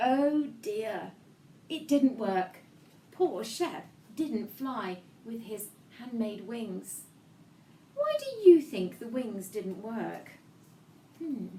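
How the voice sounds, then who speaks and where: A woman with a fairly high pitch speaks at a very slow pace, with long, frequent pauses and lively intonation. Her loudness swings widely over noticeable background noise. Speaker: children's book author reading her own book. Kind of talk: children's story reading to kids, interactive. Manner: warm, engaging, upbeat.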